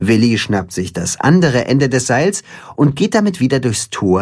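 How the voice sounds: The voice is a natural reading voice.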